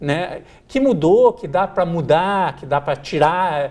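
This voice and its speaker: An ordinary speaking voice from a man, fairly high in pitch, with lively intonation. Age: 50s. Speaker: TV show host. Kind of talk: TV interview. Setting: TV studio.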